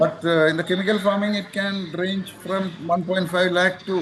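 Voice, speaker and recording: Over noticeable background noise, a man with a high pitch talks at a moderate pace in a flat, monotone intonation. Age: 70s. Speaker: cardamom farmer. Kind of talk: interview answer.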